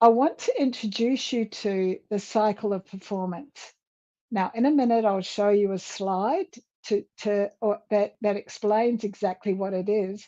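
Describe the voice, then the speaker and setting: A woman speaks at a fairly slow pace in a medium pitch. Her tone is dark and mellow, and her pitch varies in an ordinary way. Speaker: leadership and communication coach. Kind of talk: conference talk. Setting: virtual summit.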